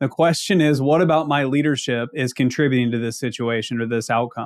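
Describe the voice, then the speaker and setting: A man talks with a slight Ozark accent at a medium pitch. His pitch varies in an ordinary way. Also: fairly quick pace, very clean recording, silent background. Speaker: accounting leadership consultant. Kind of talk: podcast interview.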